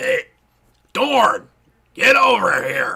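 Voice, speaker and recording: A man is talking. He uses a put-on character voice. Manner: barking orders.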